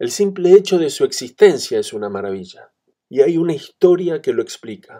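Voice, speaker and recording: A man speaks at a moderate pace. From Argentina. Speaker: translator and musician. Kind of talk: recorded video message, partly reading a written text.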